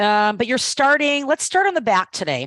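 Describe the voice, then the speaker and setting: A woman with an unremarkable speaking voice talks at a fairly quick pace with lively intonation, the sound dry and close with no echo against a quiet background. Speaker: Pilates instructor. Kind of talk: live online fitness class instruction.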